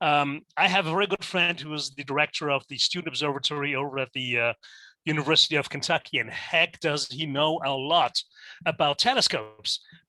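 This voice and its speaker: A man with a German accent speaks at a fairly quick pace in a fairly high voice with a bright, sharp tone. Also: dry, close sound with no echo, very clean recording, silent background. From Germany. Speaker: teacher. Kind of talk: lecture. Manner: halting, many fillers.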